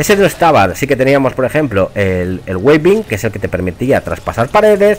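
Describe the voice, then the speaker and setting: Noticeable background noise under a man with very wide pitch swings at a fairly quick pace. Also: medium pitch for a man. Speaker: gaming youtuber. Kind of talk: video game review monologue. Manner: casual, with hesitations.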